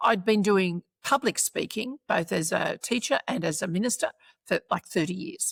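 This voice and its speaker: A woman at a medium pitch and moderate pace, with an Australian accent. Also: lively intonation, dry, close sound with no echo. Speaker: former minister and professional speaker. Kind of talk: interview.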